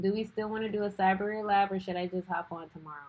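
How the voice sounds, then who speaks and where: In an American accent, a woman talks. Her pitch sits in the medium range. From Louisiana. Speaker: cybersecurity streamer. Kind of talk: live stream chat. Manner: animated.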